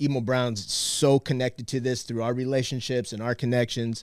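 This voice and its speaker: A man with an ordinary speaking voice talks at a moderate pace. His pitch is medium and his intonation fairly even. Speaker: activist on media campaign. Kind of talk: casual chat.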